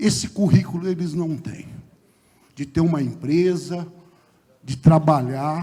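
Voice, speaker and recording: Very slowly and with long, frequent pauses, a man speaks at a fairly high pitch, his intonation fairly even but his loudness swinging widely. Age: 60s. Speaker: mayoral candidate, lawyer. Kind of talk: political debate closing statement. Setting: theatre stage with audience, broadcast on radio.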